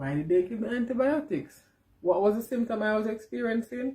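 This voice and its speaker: Somewhat breathy and dark, mellow in tone, a woman's voice moves with lively intonation. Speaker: vlogger. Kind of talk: casual vlog.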